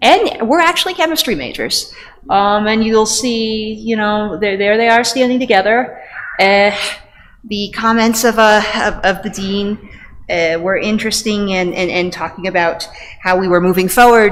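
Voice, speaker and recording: A woman speaks at a fairly high pitch with ordinary pitch variation. Noticeable background noise and audible room echo come through. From US Northeast. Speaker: pediatrician and parasitology researcher. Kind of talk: lecture. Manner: fast.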